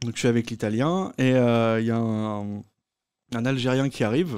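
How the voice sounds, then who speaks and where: Dark, mellow tone from a man, the background quiet. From Brittany, Brest; Brittany. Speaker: comedian. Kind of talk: storytelling. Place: stage. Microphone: studio mic.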